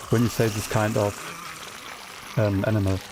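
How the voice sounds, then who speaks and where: Medium pitch from a man, with noticeable noise behind. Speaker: gaming streamer. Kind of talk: casual live-stream chat. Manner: hesitant, many fillers and repetitions.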